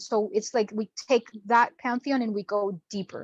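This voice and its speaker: Against a quiet background with a dry, close sound and no echo, a woman has an ordinary speaking voice, fairly high pitch, fairly even intonation and a moderate pace. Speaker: spiritual teacher. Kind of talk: online class presentation.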